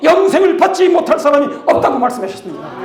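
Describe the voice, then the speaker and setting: An animated man's extremely high voice with ordinary pitch variation, amid noticeable background noise and audible room echo. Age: 80s+. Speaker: pastor and missionary. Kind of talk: sermon-style testimony.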